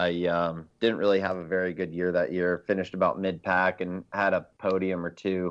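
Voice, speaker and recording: A very deep, low male voice at a moderate pace, flat and monotone, over a quiet background. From South Florida. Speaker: rally driver. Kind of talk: casual chat.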